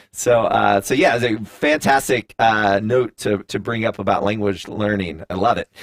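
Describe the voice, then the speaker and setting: Hardly pausing, a man with an American accent talks at a fairly low pitch with fairly even intonation in a dry, close sound that has no echo. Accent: Southern US drawl, comes out at times. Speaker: live stream host. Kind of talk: live interview. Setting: live stream studio. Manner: hesitant, many fillers.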